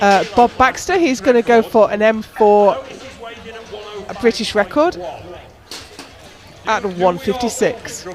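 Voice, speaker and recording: The speech is fairly slow, with long, frequent pauses. Noticeable background noise runs underneath. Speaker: powerlifting commentator. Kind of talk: live commentary.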